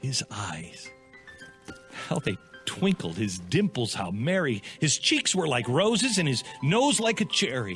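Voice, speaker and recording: Over background music, a man speaks at a fairly slow pace, his pitch swinging very widely. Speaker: radio host. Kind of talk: dramatic poetry reading. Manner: dramatic.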